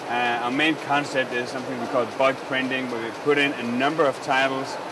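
With a Danish accent, a man speaks in a flat monotone at a moderate pace, in a dry sound with no echo and noticeable background noise. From Denmark. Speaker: printing company representative. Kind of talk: interview; interview answer. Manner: halting. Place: hall. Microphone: lapel.

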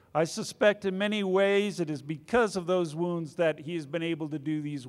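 A man's high-pitched voice moves along at a moderate pace. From US South. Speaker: war veteran and program official; conference host introducing speaker. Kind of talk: speaker introduction. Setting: conference stage with audience. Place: hall. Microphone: handheld.

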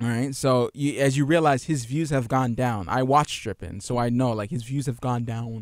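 A man speaks at medium pitch and a moderate pace, with fairly even intonation and hardly any pauses, in an unremarkable speaking voice. The background is quiet, and the sound is dry with no echo. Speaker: gaming podcast co-host. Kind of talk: casual chat. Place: home room. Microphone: studio mic.

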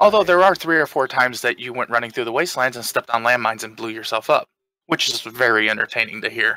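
With an American accent, a man speaks at a medium pitch in a bright, sharp tone with lively intonation, the sound dry and close with no echo. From US Midwest. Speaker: flight sim streamer. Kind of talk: casual chat.

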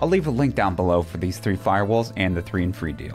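A man talks at a very fast pace with faint music in the background. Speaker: presenter. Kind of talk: product overview presentation. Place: studio. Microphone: studio mic.

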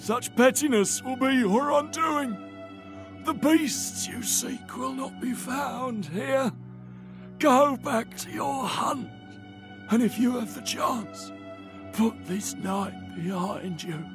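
Over clear music in the background, a man talks at a very slow pace. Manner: scared.

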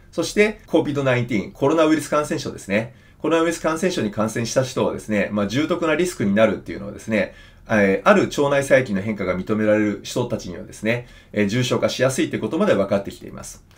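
This man talks at a very fast pace. His pitch swings very widely and his loudness swings a lot too. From Japan. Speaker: surgeon and health educator; health educator. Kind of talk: health talk to camera. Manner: conversational, many fillers. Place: office.

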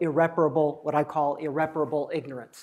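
Male speaker, moderate pace, quiet surroundings. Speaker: presenter. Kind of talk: lecture. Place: classroom.

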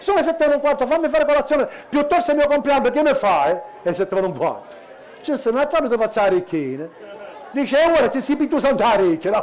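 A man speaks very fast at an extremely high pitch, his voice swinging very widely in pitch over light background noise. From Sicily. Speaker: cabaret comedian. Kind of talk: stand-up. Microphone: headset.

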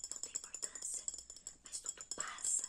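A woman is whispering. Music plays in the background. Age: 50s. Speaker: ASMR content creator. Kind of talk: ASMR whisper reading of inspirational messages. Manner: whispered, soft-spoken, slow. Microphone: lapel.

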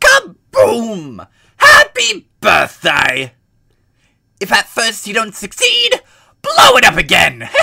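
A man's put-on character voice, very slow, with long, frequent pauses.

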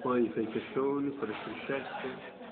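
Over loud background noise, a man speaks with an Apulian accent. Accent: Barese dialect. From Bari, Italy. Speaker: architecture student. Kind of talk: casual talk, explaining a design sketch. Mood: playful, mock-serious. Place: classroom. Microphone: phone near.

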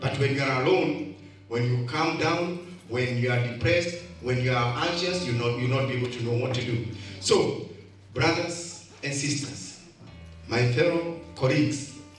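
Ordinary pitch variation amid audible room echo and light background noise. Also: man, moderate pace. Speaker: speaker. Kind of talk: motivational speech. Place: hall.

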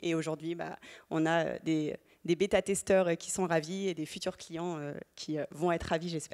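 A woman with a fairly low voice talks fairly quickly in a monotone, flat intonation against a quiet background. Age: 30s. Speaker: startup founder; panelist. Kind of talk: panel testimony. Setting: stage with audience. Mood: warm, smiling. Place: hall. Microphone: handheld.

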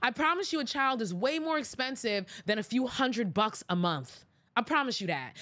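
A woman at a moderate pace with very wide pitch swings. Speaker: podcast host. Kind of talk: opinion commentary. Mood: exasperated, sarcastic. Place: studio. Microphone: studio mic.

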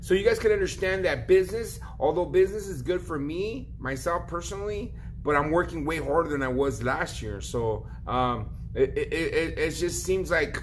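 Light background noise sits under speech delivered at a moderate tempo. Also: man. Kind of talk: casual vlog chat. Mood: frustrated but resigned. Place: shop. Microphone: phone near.

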